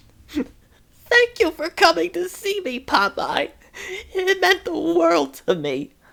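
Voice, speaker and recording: A put-on character voice, female-sounding and extremely high in pitch, at a fairly slow pace. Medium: read story.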